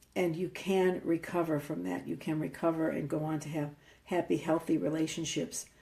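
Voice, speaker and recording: The voice has a dark, mellow tone with vocal fry, moving at a moderate pace with fairly even intonation. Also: woman, very deep, low pitch for a woman. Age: 70s. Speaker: spiritual coach. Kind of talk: facebook live talk.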